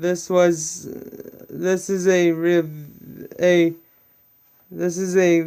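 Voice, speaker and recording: A man with a high voice speaks very slowly in a monotone, flat way, with long, frequent pauses. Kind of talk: casual talk to camera. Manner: stuttering, hesitant.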